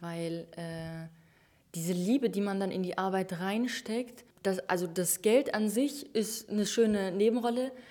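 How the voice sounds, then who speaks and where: Her pace is fairly slow. This woman's tone is dark and mellow. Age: 20s. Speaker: online shop owner. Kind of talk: interview.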